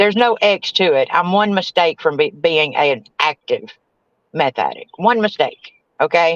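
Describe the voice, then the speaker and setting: A woman with a Southern US accent talks at a fairly slow pace and fairly low pitch, with lively intonation, very even loudness and a dry, close sound with no echo. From US South. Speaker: recovering addict and grieving mother. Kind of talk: testimony.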